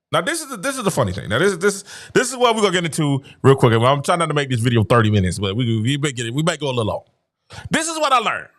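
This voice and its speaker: A fairly high-pitched man's voice with vocal fry, very wide pitch swings, and a very fast pace on a very clean recording with a silent background. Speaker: YouTube show host. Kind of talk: livestream monologue. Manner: halting, with many repeated words; animated.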